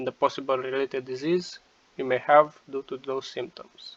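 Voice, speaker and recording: A man with a non-native accent talks at a fairly quick pace and fairly high pitch, recorded with a dry, close sound and no echo. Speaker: tech tutorial YouTuber. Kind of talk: casual screen-share tutorial talk.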